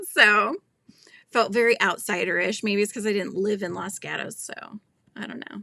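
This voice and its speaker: A woman with an American accent talks at a moderate pace and medium pitch. Her tone is bright and sharp, with vocal fry and big swings in loudness. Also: fairly even intonation. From California, US. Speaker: crochet YouTuber, livestream host. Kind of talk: casual live-stream chat reading viewer comments. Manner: chatty, conversational.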